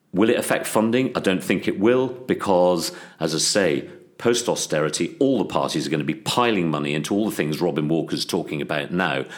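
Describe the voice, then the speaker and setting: Lively intonation runs through this man's very deep, low voice. He talks at a fairly quick pace. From England, Worcester. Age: 60s. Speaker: parliamentary candidate. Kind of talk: interview. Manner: hesitant, many fillers.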